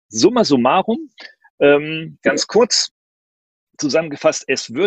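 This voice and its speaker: A man at a fairly slow pace, pitch swinging very widely, in a dry, close sound with no echo. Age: 50s. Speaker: professor and speaker on digitalization. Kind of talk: online talk and Q&A. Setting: video call with green screen.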